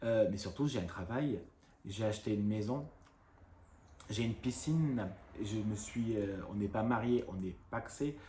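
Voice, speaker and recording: Fairly low and dark, mellow in tone, this man's voice is somewhat breathy with ordinary pitch variation. He speaks at a fairly slow pace with long, frequent pauses. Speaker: YouTuber. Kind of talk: casual rant to camera. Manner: trouble pronouncing some sounds.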